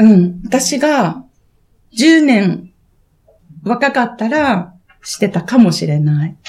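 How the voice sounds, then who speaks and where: Speaking at a very slow pace with long, frequent pauses, a woman's fairly high voice makes very wide pitch swings and big swings in loudness. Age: 40s. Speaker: podcast host. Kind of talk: casual chat. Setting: public recording with live audience.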